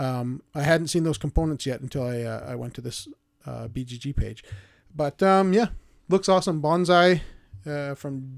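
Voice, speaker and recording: A man with a plain, everyday voice at a fairly high pitch and moderate pace, with big swings in loudness, in a very clean recording with a silent background. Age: 30s. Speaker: board game podcast host. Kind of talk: casual chat.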